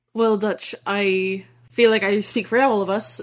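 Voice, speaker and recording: This is an unremarkable speaking voice, moving at a moderate pace with ordinary pitch variation. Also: woman. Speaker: tabletop game player. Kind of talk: tabletop roleplaying game session.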